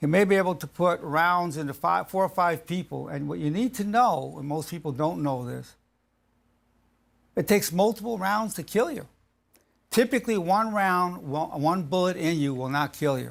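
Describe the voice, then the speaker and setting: With an American accent, a man speaks at a high pitch and a moderate pace with lively intonation. The recording is very clean, with a silent background. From United States. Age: 70s. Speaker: clinical psychologist. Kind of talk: video presentation. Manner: emphatic.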